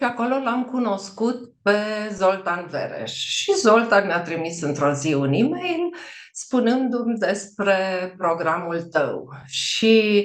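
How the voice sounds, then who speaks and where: A woman speaks at medium pitch and a very slow pace. Her pitch swings very widely, and room echo is audible. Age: 60s. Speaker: pediatrician, program client. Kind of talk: testimonial interview. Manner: hesitant, with filler sounds.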